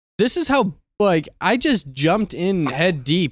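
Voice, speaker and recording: A man with an American accent speaks at a fairly slow pace, his high pitch moving with lively intonation. The sound is dry and close with no echo, on a very clean recording with a silent background. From Michigan, US. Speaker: podcast host and streamer. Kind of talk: casual interview chat.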